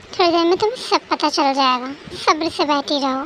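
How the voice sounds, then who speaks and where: A woman puts on a character voice set high in pitch, speaking at a moderate pace. Background noise is clearly heard. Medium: read story. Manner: menacing, mocking.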